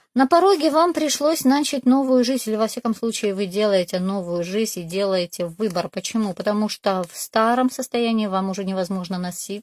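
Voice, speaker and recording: In a very clean recording with a silent background, a woman talks at a moderate pace. She has an ordinary speaking voice, medium pitch and ordinary pitch variation. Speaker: tarot reader. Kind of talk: tarot reading video.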